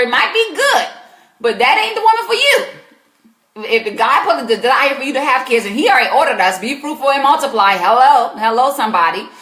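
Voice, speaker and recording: A woman speaks with an American accent in a high pitch, her voice raised and projected. She talks at a very fast pace with very wide pitch swings. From US South, South Carolina. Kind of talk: live Q&A advice stream. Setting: live stream. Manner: animated.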